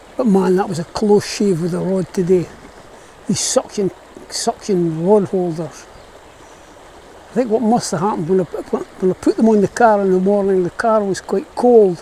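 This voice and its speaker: Amid noticeable background noise, a man with a Scottish accent and a high pitch speaks at a moderate pace with ordinary pitch variation and long, frequent pauses. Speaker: fly fisherman. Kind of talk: casual talk to camera. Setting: outdoors.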